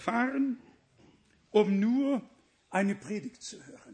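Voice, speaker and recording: A man speaking at a very slow pace in an extremely high pitch. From Danzig region (former West Prussia). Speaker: preacher. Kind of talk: sermon. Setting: church with congregation.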